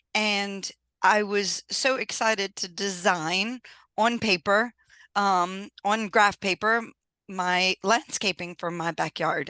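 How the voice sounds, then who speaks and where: Speaking at a very slow pace with an American accent, a woman has a bright, sharp tone in a dry, close sound with no echo. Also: quiet background. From US South, Louisiana. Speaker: engineer and business owner. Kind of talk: podcast interview. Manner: animated.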